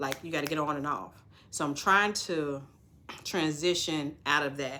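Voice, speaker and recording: A woman talks at a fairly slow pace in a very deep, low pitch with a bright, sharp tone and fairly even intonation. Audible room echo fills the recording. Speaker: notary signing agent coach. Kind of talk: casual vlog talk.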